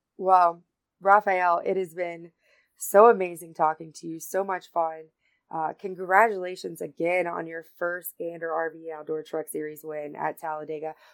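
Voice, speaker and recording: This woman has a fairly low voice and a Southern US accent, speaking at a moderate pace with monotone, flat intonation. Her loudness swings widely, and the recording is very clean with a silent background. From North Carolina. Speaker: podcast host. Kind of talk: casual chat.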